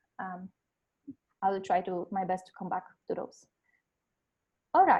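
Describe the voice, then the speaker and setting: In a Polish accent, the voice carries a dark, mellow tone. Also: woman. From Poland. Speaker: life coach. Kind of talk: webinar presentation. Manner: hesitant, many fillers.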